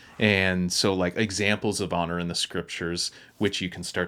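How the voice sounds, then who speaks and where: This man has a Maritime Canadian accent and a very deep, low pitch, speaking at a moderate pace with fairly even intonation. The recording is very clean with a silent background. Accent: Canadian (Maritimes). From Nova Scotia, Canada. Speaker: pastor. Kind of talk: casual chat.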